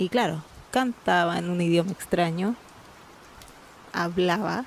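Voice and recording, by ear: At a fairly slow pace, a woman speaks with fairly low pitch and ordinary pitch variation.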